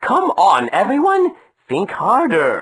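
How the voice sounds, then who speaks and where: This is a cartoonish character voice with a high pitch. It moves at a fairly slow pace. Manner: earnest.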